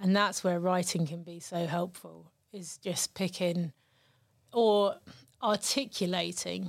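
A woman with a southern English accent and a fairly low pitch speaks at a very slow pace with fairly even intonation and long, frequent pauses, on a very clean recording with a silent background. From southern England, Brighton. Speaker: poet. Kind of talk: casual interview chat.

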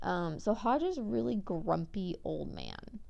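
In an American accent, a woman with a dark, mellow tone speaks at a very slow pace. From Oregon, Pacific Northwest. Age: 20s. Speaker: podcast host. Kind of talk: casual monologue. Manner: rambling with frequent fillers.

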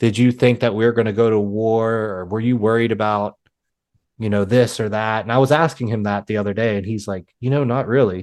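Against a quiet background, an unremarkable speaking voice moves at a fairly quick pace with fairly even intonation. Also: man, medium pitch for a man. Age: 30s. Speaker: podcast host. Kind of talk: casual interview.

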